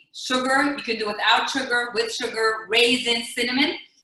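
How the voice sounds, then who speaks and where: A woman talks at a moderate pace. The room echo is audible. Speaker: rebbetzin cooking demonstrator. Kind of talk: cooking demonstration. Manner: casual, hesitant with fillers.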